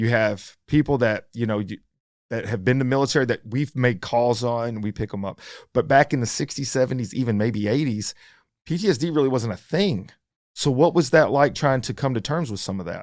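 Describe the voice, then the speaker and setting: A man with a plain, everyday voice talks at a fairly quick pace and a medium pitch, with ordinary pitch variation, on a very clean recording with a silent background. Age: 50s. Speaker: podcast host, firefighter paramedic. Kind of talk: interview conversation. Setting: studio.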